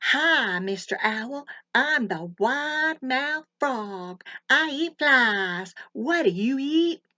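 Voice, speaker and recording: A woman's put-on character voice, high in pitch and very slow in pace. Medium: read story. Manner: chirpy, eager.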